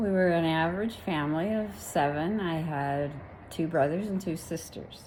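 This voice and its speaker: With an American accent, a woman speaks at a moderate pace with a fairly low pitch and ordinary pitch variation, and the room echo is audible. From California, US. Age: 70s. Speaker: grandmother interviewed. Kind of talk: interview answers.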